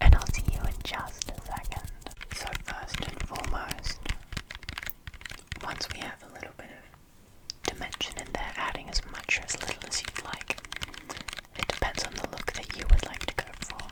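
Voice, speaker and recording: Whispering with long, frequent pauses over noticeable background noise. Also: moderate pace. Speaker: ASMR creator. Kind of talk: ASMR makeup tutorial. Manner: whispered.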